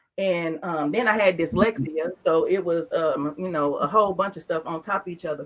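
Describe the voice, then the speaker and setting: Over noticeable background noise, a woman with a fairly low voice speaks at a moderate pace in an animated tone, with ordinary pitch variation and hardly any pauses. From US South. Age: 40s. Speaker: wellness content creator. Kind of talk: interview testimony.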